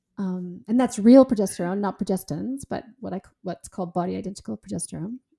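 Speaking very fast at a medium pitch, a woman with a dark, mellow, somewhat breathy tone shows big swings in loudness and ordinary pitch variation, recorded very cleanly with a silent background and a dry, close sound with no echo. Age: 50s. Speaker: author and health expert. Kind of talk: interview.

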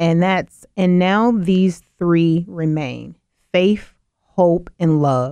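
A woman with an American accent speaks at a very slow pace and a fairly low pitch, with ordinary pitch variation. The background is quiet. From US South (Mississippi). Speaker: diversity and inclusion consultant. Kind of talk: radio interview.

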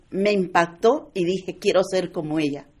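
A woman speaks at a medium pitch. Her pitch varies an ordinary amount. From United States, Puerto Rican-born. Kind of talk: testimony.

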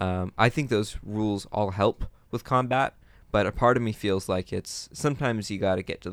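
On a very clean recording with a silent background, a man with a plain, everyday voice talks at a moderate pace. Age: young. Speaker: podcast co-host, tabletop gamer. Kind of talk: casual chat.

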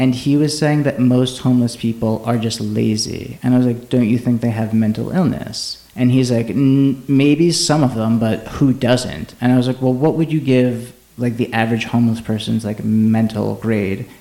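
Over noticeable background noise, a man talks at a moderate pace. His loudness stays very even, and his intonation is fairly even. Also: medium pitch for a man, hardly any pauses. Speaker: podcast host. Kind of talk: casual chat.

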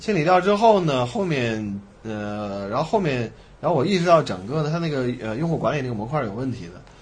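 In an unremarkable speaking voice, a man talks at a moderate pace, his medium pitch marked by lively intonation. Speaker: tech entrepreneur and former CTO. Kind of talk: interview. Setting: in-person studio recording with three people.

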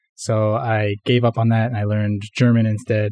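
In a Western Canadian accent, a man talks with a dark, mellow tone and monotone, flat intonation over a quiet background. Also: dry, close sound with no echo. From Canada, Vancouver (west coast). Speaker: software developer. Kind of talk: casual interview chat.

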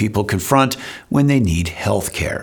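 A man's pitch jumps across a very wide range. Behind him there is noticeable noise. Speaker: podcast host. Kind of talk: casual conversation with sponsor read and intro.

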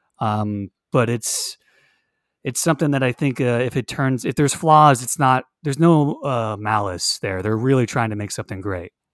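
A man talks in a plain, everyday voice with an American accent, medium pitch and ordinary pitch variation at a moderate pace. The sound is dry and close with no echo, on a very clean recording with a silent background. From Florida. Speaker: podcast co-host. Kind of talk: casual chat.

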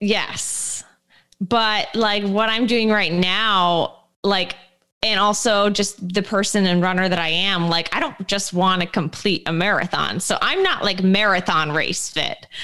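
A woman talks at a fairly slow pace, her medium-pitched voice bright and sharp in tone. Her loudness stays very even and her intonation fairly even. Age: 20s. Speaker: running podcast co-host and coach. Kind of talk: casual chat.

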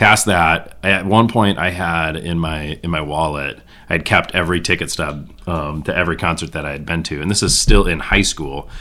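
With an Upper Midwest accent, a man speaks in a very deep, low voice that has a bright, sharp tone and ordinary pitch variation. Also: moderate pace, hardly any pauses. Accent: Upper Midwest American. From northern Michigan. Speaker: music fan, father. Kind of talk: casual chat.

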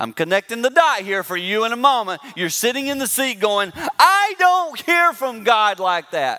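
Projecting loudly in an American accent, a man talks at a moderate pace with an extremely high pitch and very wide pitch swings. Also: hardly any pauses. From US South. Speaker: pastor. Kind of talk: sermon.

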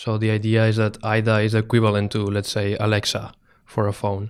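In a very clean recording with a silent background, a man talks in monotone, flat intonation. He speaks with a Spanish accent. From Spain. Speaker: startup co-founder. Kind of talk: interview.

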